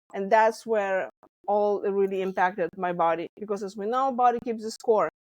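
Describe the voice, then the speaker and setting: In a slight Lithuanian accent, a woman talks at a moderate pace with medium pitch and fairly even intonation. The sound is dry and close, without echo. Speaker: stress management coach. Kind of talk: interview.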